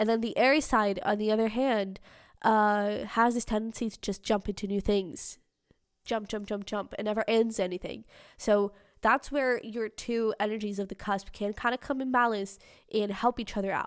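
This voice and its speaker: Recorded very cleanly against a silent background, a woman with a plain, everyday voice speaks at a moderate pace in a fairly high pitch with fairly even intonation. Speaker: tarot reader. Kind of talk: tarot reading monologue.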